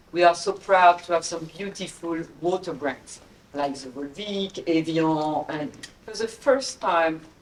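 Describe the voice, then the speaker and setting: Over noticeable background noise, a woman with a French accent speaks fairly slowly in a fairly low pitch with ordinary pitch variation. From France. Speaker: investment executive on a panel. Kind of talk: panel discussion.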